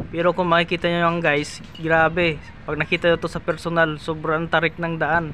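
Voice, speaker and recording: Against noticeable background noise, a man talks at a fairly quick pace in a high voice. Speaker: travel vlogger. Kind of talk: vlog narration. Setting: outdoors. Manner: stumbling over words; animated.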